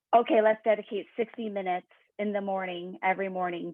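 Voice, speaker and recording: A woman talks at a fairly quick pace in an unremarkable speaking voice with fairly even intonation. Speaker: executive coach. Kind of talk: webinar talk.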